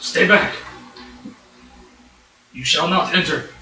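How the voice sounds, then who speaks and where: A man puts on a gruff, high-pitched character voice, with slight echo and faint music in the background. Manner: stern, warning.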